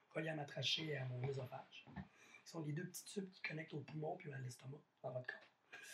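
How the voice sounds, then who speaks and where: Fairly high in pitch, a man speaks at a moderate pace with ordinary pitch variation. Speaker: podcast host. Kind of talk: casual chat.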